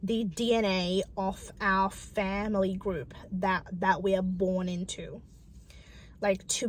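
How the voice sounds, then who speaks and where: A woman speaks at a very slow pace. Her voice is somewhat breathy and medium in pitch. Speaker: spiritual content creator. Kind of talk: casual talk to camera.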